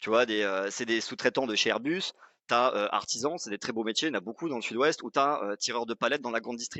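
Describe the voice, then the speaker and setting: Pitch varies in an ordinary way as the words come out very fast. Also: man, medium pitch for a man. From southwest France (Pau). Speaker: sales expert, former startup CEO. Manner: casual, hesitant with fillers.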